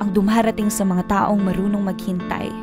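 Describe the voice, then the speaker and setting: A woman's monotone, flat intonation with music in the background. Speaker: spoken word performer. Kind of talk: spoken word poetry performance.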